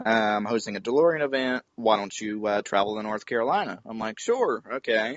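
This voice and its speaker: A man's fairly quick talk with hardly any pauses, ordinary pitch variation and a slight Southern US accent. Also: medium pitch for a man. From West Virginia. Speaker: car enthusiast, online group founder. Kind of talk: podcast interview.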